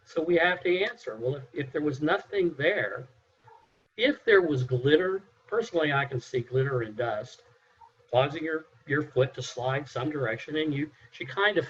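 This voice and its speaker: At a moderate pace, a man speaks with lively intonation. His fairly high voice is somewhat breathy. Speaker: mock juror. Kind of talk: jury deliberation.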